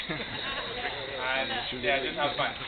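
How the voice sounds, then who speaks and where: Noticeable noise sits in the background. Over it, a man talks. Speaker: professional tennis player. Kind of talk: thank-you speech at event. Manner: quiet.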